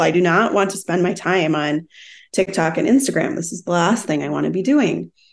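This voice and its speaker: A woman talks at a fairly quick pace in an American accent, her pitch fairly low, with a plain, everyday voice. The background is quiet. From Minnesota. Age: 40s. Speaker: wellness business founder. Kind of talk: casual interview.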